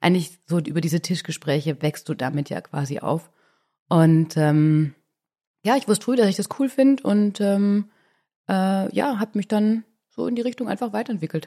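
In an ordinary speaking voice, a woman talks at a moderate pace and medium pitch with lively intonation on a very clean recording with a silent background. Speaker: cosmetics company executive. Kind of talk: casual chat.

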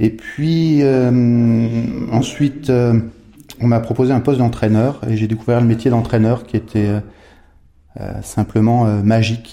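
Man's voice at a medium pitch, dark and mellow in tone, very slow in pace with fairly even intonation and long, frequent pauses. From Haute-Savoie, French Alps (Megève). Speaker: entrepreneur, former biathlete. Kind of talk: podcast interview. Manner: halting, many repetitions and hesitations.

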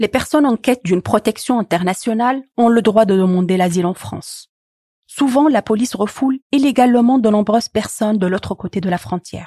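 A woman's fairly high, somewhat breathy voice with a dark, mellow tone, moderate pace and ordinary pitch variation, in a dry, close sound with no echo. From Tunisia. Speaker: narrator and former doctoral student. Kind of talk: scripted narration.

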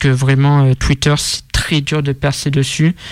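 A man talks in a monotone, flat intonation at a fairly high pitch. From Marseille, southern France. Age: 20s. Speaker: rap media founder. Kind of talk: casual interview. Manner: halting.

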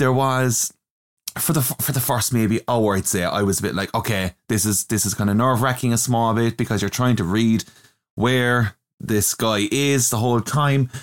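A man with a plain, everyday voice speaks at a moderate pace and medium pitch, with fairly even intonation, very even loudness and a dry, close sound with no echo. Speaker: podcast co-host. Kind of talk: casual chat.

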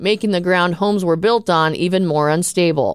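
A woman speaks at a moderate pace in a plain, everyday voice, her fairly low pitch moving with ordinary variation. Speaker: news host. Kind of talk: newsreading, brisk professional studio-style bulletin of headlines. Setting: studio. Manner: formal; steady, even-paced, neutral delivery.

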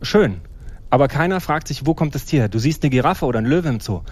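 A man speaks very fast in a Thuringian accent. His pitch sits fairly high and varies in an ordinary way. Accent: East German (Thuringian) dialect. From eastern Germany, Jena. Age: 40s. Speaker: marine biologist and conservationist. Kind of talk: casual interview chat.

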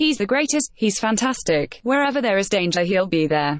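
A put-on, robotic character voice, female-sounding, at medium pitch and a moderate pace

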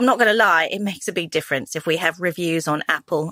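Talking fast at a fairly low pitch, a woman has a bright, sharp tone and ordinary pitch variation in a dry, close sound with no echo.

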